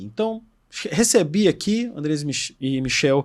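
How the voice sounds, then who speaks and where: With a Brazilian accent, a man speaks with very wide pitch swings on a very clean recording with a silent background. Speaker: podcast host. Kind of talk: podcast interview. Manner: casual, conversational.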